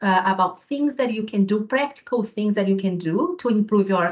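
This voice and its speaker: A woman's fairly high voice in a Brazilian accent, with ordinary pitch variation. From southern Brazil, Rio Grande do Sul. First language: Portuguese. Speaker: physiotherapy lecturer. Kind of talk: webinar presentation.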